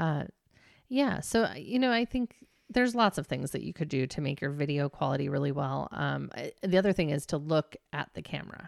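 A woman speaks with very deep, low pitch, vocal fry, and very wide pitch swings. The sound is dry and close with no echo, on a very clean recording with a silent background. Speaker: podcast co-host and business owner. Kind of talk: casual chat. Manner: fast.

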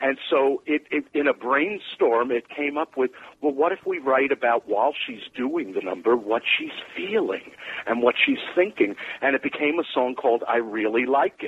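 A man with an American accent speaks at a moderate pace in an ordinary speaking voice, fairly high in pitch. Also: lively intonation. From New York. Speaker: musical theatre writer. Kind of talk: casual interview chat. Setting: phone call.

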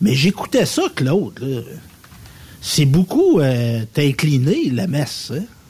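With lively intonation and a fairly high pitch, a somewhat breathy man talks at a very slow pace, leaving long, frequent pauses. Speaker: radio co-host. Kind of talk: casual chat.

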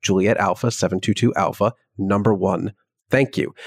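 A man uses an ordinary speaking voice, fairly low in pitch, at a moderate pace with fairly even intonation. The recording is very clean, with a silent background and a dry, close sound with no echo. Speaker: aviation podcast co-host. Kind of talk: casual podcast discussion; radio dispatch, reading air traffic control transcript aloud.

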